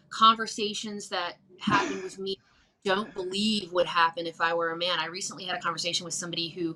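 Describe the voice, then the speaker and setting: The voice has an American accent and a bright, sharp tone. Its pitch varies in an ordinary way. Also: woman. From Virginia Appalachia. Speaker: musician. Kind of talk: interview conversation. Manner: halting, many fillers.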